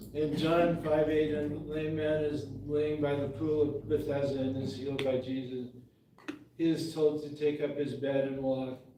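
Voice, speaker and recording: A man with an American accent talks at a moderate pace in a fairly high pitch and a flat, monotone intonation, with audible room echo. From Montana. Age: 70s. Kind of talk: reading aloud.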